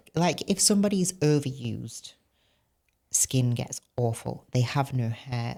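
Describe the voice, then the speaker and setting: A woman's very deep, low voice, dark and mellow, at a fairly slow pace. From northern England, Barnsley (Yorkshire). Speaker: former bodybuilder and coach. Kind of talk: podcast interview.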